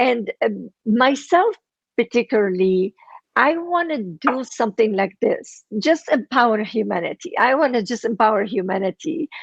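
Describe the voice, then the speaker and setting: Very wide pitch swings at a moderate pace, in a dry, close sound with no echo. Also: woman, fairly high pitch for a woman. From Lebanon. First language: Armenian and Arabic. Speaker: author and entrepreneur. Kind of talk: interview. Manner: halting.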